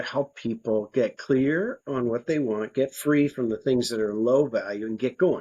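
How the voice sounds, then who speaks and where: A man with an American accent in a normal speaking voice, medium in pitch with ordinary pitch variation, at a moderate pace. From United States. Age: 60s. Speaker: nonprofit co-founder and life coach. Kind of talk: podcast interview. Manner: conversational.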